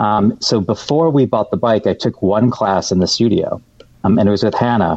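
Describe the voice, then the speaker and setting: A man with an ordinary speaking voice, fairly low in pitch, with ordinary pitch variation, a moderate pace and very even loudness. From US Midwest, Metro Detroit, Michigan. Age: 40s. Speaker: television producer. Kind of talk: casual interview. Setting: remote call.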